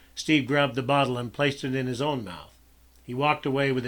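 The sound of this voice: The clip is read in an unforced reading voice.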